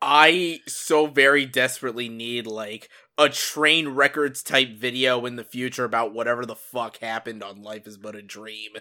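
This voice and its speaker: A man's medium-pitched, bright, sharp voice at a moderate pace, with fairly even intonation, big swings in loudness and hardly any pauses, in a very clean recording with a silent background. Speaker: podcast host. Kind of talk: casual chat. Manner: filler-heavy, rambling.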